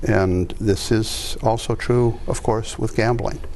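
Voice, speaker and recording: A man's medium-pitched voice with fairly even intonation at a fairly slow pace, audible room echo and noticeable background noise around it. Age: 70s. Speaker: addictions counselor. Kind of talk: interview conversation. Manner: measured, hesitant with many fillers.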